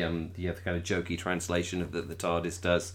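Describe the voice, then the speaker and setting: At a very fast pace, a man speaks in a very deep, low pitch. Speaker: podcast host. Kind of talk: casual chat. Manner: animated, laughs often.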